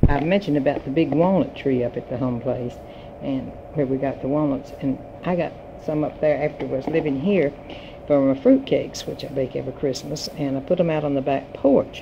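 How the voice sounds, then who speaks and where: A woman with a North Carolina accent talks at a fairly quick pace in a very deep, low pitch with fairly even intonation. Noticeable background noise runs behind her. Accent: Southern US, North Carolina. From US South, Yadkin County, North Carolina. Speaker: retired teacher. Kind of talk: personal reminiscence. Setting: home recording.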